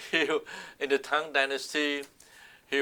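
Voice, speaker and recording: A man's voice, bright and sharp in tone. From southern China, Guangdong (Shantou). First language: Southern Min (Minnan) Chinese. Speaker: oral history interviewee. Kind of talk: oral history interview. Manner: halting, many fillers and restarts.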